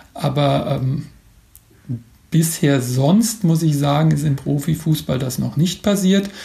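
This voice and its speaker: A man speaks at a very slow pace with long, frequent pauses, his fairly high pitch showing ordinary variation. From Mainz, Germany. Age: 40s. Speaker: football blogger and author. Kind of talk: interview. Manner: hesitant with frequent fillers.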